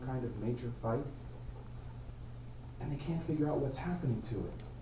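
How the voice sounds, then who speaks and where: A man talks fairly quickly, his voice carrying audible room echo with noticeable background noise. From Alaska. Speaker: Toastmasters club member. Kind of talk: prepared speech. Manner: loud.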